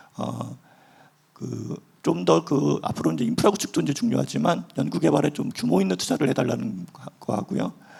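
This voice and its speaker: With noticeable noise in the background, a man delivers his words fairly quickly. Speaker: government official. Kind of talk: panel discussion. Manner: hesitant, many fillers.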